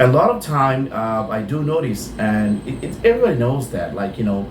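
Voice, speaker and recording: A man with a medium pitch speaks at a moderate pace and lively intonation. Noticeable background noise and audible room echo fill the recording. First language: Bengali. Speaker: insurance broker. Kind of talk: tutorial. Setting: office. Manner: halting.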